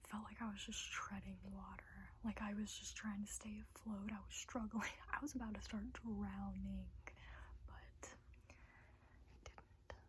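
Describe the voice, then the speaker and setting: Soft-spoken and fairly slow, the voice comes through noticeable background noise. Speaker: ASMR creator. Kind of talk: personal life update, casual talk.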